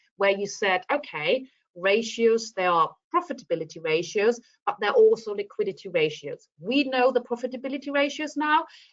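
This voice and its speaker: A woman with a German accent speaks at a moderate pace and a fairly high pitch. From Germany. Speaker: teacher trainer. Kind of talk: lesson feedback on video call.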